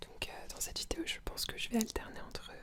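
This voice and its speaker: A woman whispers. Noticeable background noise sits behind her. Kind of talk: ASMR video, casual talk to camera. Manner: whispered; hesitant, many filler sounds.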